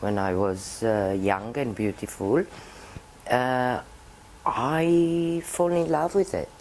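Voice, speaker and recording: Speaking at a very slow pace, a woman with a Romanian accent has a very deep, low pitch and lively intonation. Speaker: puppeteer. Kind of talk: interview.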